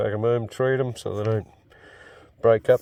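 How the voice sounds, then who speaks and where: In an Australian accent, a dark, mellow voice speaks at a moderate pace with fairly even intonation. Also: man. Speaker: amateur prospector and fossil hunter. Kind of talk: casual outdoor vlog narration. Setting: outdoors in the bush.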